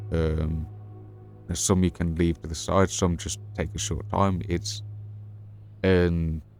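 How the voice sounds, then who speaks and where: Music plays in the background as a man speaks at a very slow pace with long, frequent pauses. His pitch is very deep and low. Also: ordinary pitch variation. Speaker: gaming streamer. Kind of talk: live gameplay stream chat. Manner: halting.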